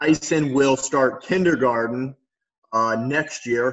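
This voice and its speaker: The man speaks very slowly. His intonation is fairly even. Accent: Midwestern American. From northwest Ohio. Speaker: PE teacher and coach. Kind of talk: casual interview.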